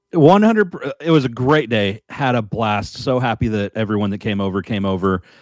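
A man speaks at a medium pitch and a fairly quick pace in an ordinary speaking voice, with a dry, close sound and no echo. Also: ordinary pitch variation. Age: 40s. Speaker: podcast co-host and musician. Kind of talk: casual chat.

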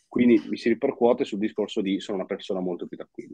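A man talks fairly quickly, the sound close and dry with no echo. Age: 20s. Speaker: crypto and personal finance content creator. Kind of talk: casual chat.

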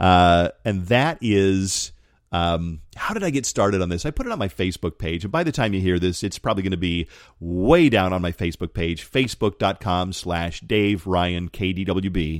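A man's very deep, low voice with an American accent, on a very clean recording with a silent background. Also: ordinary pitch variation, moderate pace. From Colorado Springs, Colorado. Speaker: radio host. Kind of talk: casual monologue podcast.

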